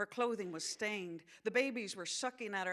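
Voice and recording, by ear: Someone reads aloud in a natural voice, and the pitch shifts in an ordinary way.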